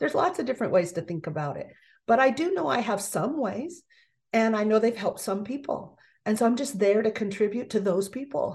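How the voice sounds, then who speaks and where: A woman's fairly high, somewhat breathy voice with very wide pitch swings. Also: fairly quick pace. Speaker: speaker coach. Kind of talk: interview. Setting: video call. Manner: calm.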